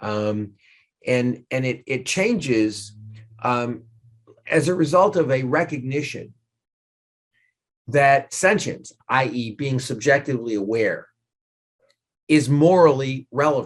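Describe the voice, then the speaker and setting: The speaker has a New York accent and a very slow pace, with long, frequent pauses. Pitch variation is ordinary, and the background is quiet. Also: man, medium pitch for a man. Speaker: law professor. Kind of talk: lecture. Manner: animated.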